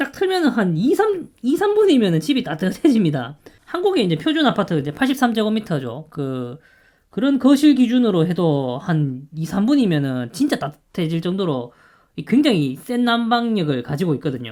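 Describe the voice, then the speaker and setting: This man talks with a high pitch. Very wide pitch swings run through his speech. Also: moderate pace. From Gyeongsang, South Korea. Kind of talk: casual talk to camera.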